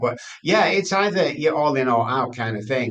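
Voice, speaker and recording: A man talks with a Mancunian accent. Room echo can be heard. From England, Manchester. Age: 60s. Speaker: addiction expert. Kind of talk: interview. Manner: animated.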